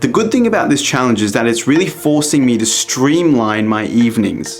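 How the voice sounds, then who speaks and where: A man speaks at a fairly quick pace with lively intonation and very even loudness. Music plays in the background. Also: medium pitch for a man. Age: 20s. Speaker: YouTuber. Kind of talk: vlog narration.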